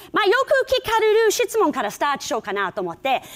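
A woman talks at a moderate pace with an English accent. The background is quiet. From England, Liverpool; England. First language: English (speaking Japanese). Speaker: rakugo performer; keynote speaker, comic storyteller. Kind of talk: keynote talk. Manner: animated. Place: hall. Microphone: lapel.

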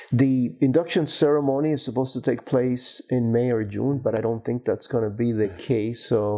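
A man talks at a moderate pace with hardly any pauses, in a medium pitch with ordinary pitch variation. His tone is dark and mellow, and the background is quiet. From Cuba. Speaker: materials science professor and university administrator; materials science professor. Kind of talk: oral history interview. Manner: hesitant with frequent fillers.

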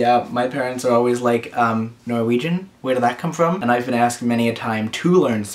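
Text is read out in a natural voice. The pitch rises and falls in an ordinary way.

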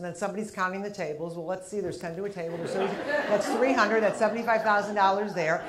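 Over loud background noise, a woman races along at a very fast pace with hardly any pauses and ordinary pitch variation. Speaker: stand-up comedian. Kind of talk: stand-up comedy set. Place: stage. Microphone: lapel.

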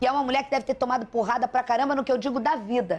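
A woman with a high pitch. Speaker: TV news anchor. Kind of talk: live TV news anchoring. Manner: warm, empathetic. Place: studio. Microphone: lapel.

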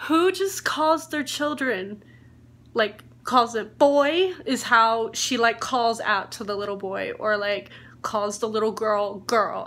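A woman reads at a fairly slow pace with lively intonation. Her tone is bright and sharp. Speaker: book vlogger. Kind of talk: casual vlog chat. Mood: annoyed, amused, laughing. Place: home room. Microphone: phone near.

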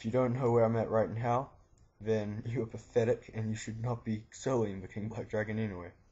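This man talks at a fairly quick pace and a medium pitch, somewhat breathy, with monotone, flat intonation. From New Zealand. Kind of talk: game tutorial narration. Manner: casual, profane.

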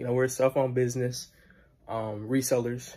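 Here a man talks at a medium pitch. His voice is somewhat breathy. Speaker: student. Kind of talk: video self-introduction. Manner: fast; casual. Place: home room. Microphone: phone near.

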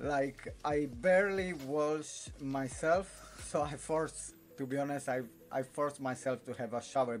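A man with a fairly high pitch, lively intonation and a very slow pace, faint music in the background. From Italy. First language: Italian. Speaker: vlogger. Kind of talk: casual talk to camera. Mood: relaxed, a bit weary. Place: home room. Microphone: phone near.

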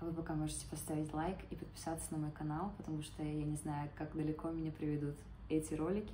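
Over clear background noise, a woman with a low pitch talks fast, with little pitch movement.

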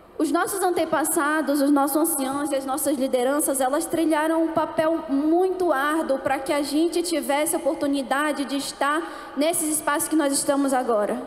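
A woman with a high voice speaks at a moderate pace, with hardly any pauses. Her loudness stays very even, her intonation is fairly even, and the room echo is audible. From Amazonas, northern Brazil (Manaus); Amazonas, Brazil. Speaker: speaker. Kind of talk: panel talk. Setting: stage with audience. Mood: calm, earnest. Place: stage. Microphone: handheld.

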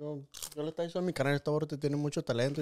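A man speaks in a monotone, flat intonation at a fairly high pitch. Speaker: podcast host. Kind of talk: casual interview chat. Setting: studio with cameras.

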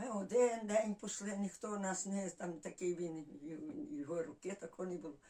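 Her tone dark and mellow, a woman speaks at a fairly slow pace with ordinary pitch variation. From Volyn, northwestern Ukraine (village near Kovel). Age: 80s+. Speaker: village resident. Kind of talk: dialect interview, life story. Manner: halting, many fillers.

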